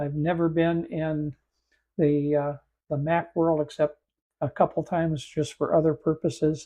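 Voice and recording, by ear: Slow and croaky, a man's fairly high voice has a dark, mellow tone and little pitch movement.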